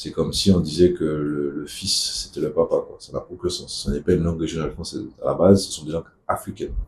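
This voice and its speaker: Talking at a very fast pace in a Martinican accent, a man makes big swings in loudness. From Martinique. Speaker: activist spokesperson. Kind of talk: casual video monologue.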